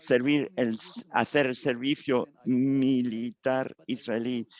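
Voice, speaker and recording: A man's monotone, flat delivery at a very slow pace. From Israel. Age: 80s. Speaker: rabbi and human rights activist. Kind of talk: testimony. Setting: synagogue ceremony. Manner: halting.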